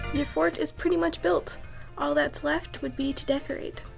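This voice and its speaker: Music runs in the background. A woman speaks in a playful tone at a moderate pace. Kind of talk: casual how-to tutorial talk to camera. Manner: playful, offhand.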